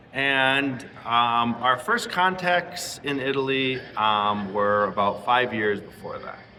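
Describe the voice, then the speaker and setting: Speaking at a very slow pace with hardly any pauses, a medium-pitched man uses lively intonation while audible room echo surrounds his voice. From Latin America. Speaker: missionary pastor. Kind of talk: interview. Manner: halting, many fillers.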